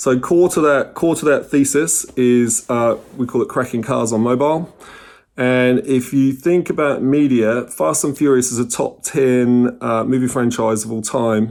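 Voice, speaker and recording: The man holds a medium pitch and ordinary pitch variation while talking at a fairly slow pace. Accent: New Zealand. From New Zealand. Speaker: company CEO. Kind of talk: conference presentation.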